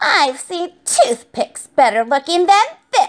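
Fairly slow and extremely high in pitch, the voice is a put-on character act. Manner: squawking, indignant.

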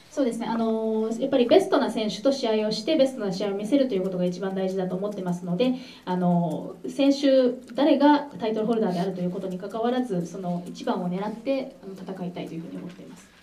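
A woman's fairly high voice at a very fast pace with hardly any pauses, lively intonation, big swings in loudness, and audible room echo. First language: Japanese. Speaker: interviewer and interpreter; interviewer. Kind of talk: interview with interpreting. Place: meeting room.

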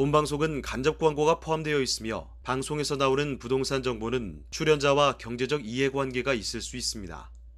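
A man speaks in an ordinary speaking voice at medium pitch and a fairly quick pace. The recording is very clean, with a silent background. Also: ordinary pitch variation. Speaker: announcer. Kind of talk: scripted disclaimer.

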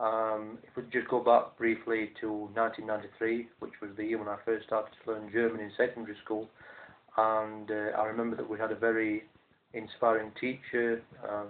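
With a Yorkshire accent, a man speaks at a moderate pace in a monotone, flat intonation. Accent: Northern English (Yorkshire). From South Yorkshire, England. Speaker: language teacher. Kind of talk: monologue to camera. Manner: hesitant, with frequent fillers. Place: home room. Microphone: webcam.

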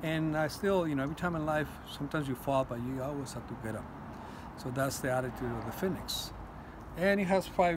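A man's fairly high voice, fairly quick and somewhat breathy, with ordinary pitch variation over noticeable background noise. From Mexico. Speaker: leather and metal artist; interviewee. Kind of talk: interview. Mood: warm, reflective. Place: street. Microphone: phone near.

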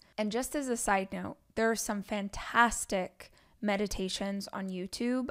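A woman talks at a moderate pace with ordinary pitch variation. Behind her, the background is quiet. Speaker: podcast host. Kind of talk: podcast advice monologue. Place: home room. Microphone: studio mic.

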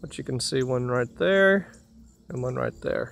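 A man is speaking. His tone is fairly bright, with vocal fry.

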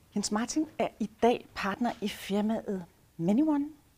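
A woman speaks at a fairly high pitch. Her tone is dark and mellow, and somewhat breathy. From Denmark. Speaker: moderator. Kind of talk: moderated panel. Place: hall. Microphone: lapel.

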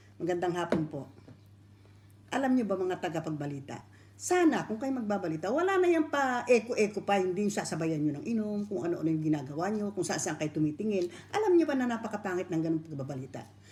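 A woman's very fast speech with very wide pitch swings, over noticeable background noise. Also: medium pitch for a woman. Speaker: online video commentator ranting about news broadcasters. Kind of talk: angry rant scolding news presenters, sarcastic lecture. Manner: scolding, indignant, emphatic, repeating 'di ba?' for emphasis.

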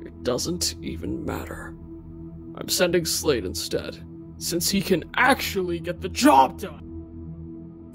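A put-on character voice moves at a fairly slow pace. Clear music plays in the background. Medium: audio drama. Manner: impatient, scornful, barking orders.

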